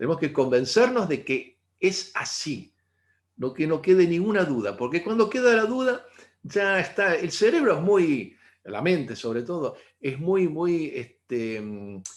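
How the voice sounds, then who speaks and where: A man at a fairly slow pace, high in pitch, with very wide pitch swings. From Argentina. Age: 60s. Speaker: integrative therapist. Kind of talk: talk to online audience.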